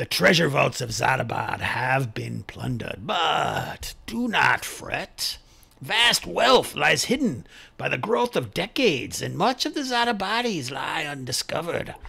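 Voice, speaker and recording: Put-on character voice from a man, pitched fairly high, with a fairly slow pace. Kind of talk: tabletop NPC voice. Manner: grandiose, ominous welcome.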